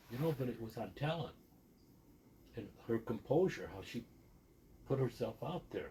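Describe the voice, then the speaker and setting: A man's somewhat breathy, dark and mellow voice, medium in pitch with lively intonation, at a moderate pace broken by long, frequent pauses. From Texas border region, later Sandusky, Ohio. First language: Spanish. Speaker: podcast guest sharing life story. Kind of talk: casual interview.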